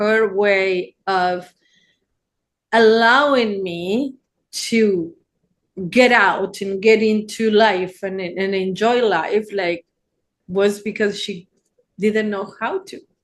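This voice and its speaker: The intonation stays fairly even. The speaker has an Argentine accent. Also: woman. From Argentina. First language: Spanish. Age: 60s. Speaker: therapist. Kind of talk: casual chat.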